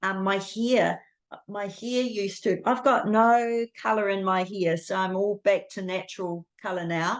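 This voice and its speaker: A woman speaks in a New Zealand accent at a medium pitch. Her pace is fairly slow and her intonation fairly even. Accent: New Zealand accent, delicate. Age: 60s. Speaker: guest sharing health story. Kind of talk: interview testimony. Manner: hesitant, many fillers.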